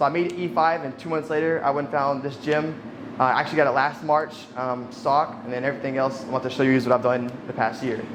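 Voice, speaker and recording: Very fast speech with an American accent and fairly even intonation, amid audible room echo and noticeable background noise. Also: man, fairly high pitch for a man. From US South, central Arkansas. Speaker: navy gunner's mate. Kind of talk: casual interview. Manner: hesitant, many fillers.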